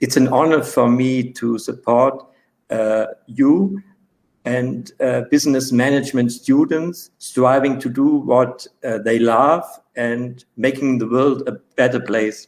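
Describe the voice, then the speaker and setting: At a very slow pace, a man speaks with fairly even intonation and a medium pitch. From Switzerland. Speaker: author and coach, guest speaker. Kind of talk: lecture read from script. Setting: online webinar. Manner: halting, many fillers.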